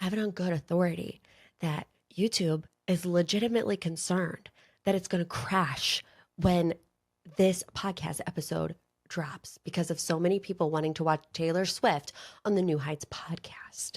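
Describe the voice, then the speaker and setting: A woman uses a put-on character voice that is raspy and fairly low, with fairly even intonation. She speaks at a moderate pace in a very clean recording with a silent background. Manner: conspiratorial, sharing inside information.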